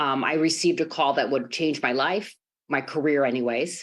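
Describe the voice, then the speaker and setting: In a Chicago accent, a woman speaks at a very deep, low pitch. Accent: American, Chicago. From Chicago, Greek-American family. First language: Greek. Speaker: sports executive, lawyer. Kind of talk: speech on podcast.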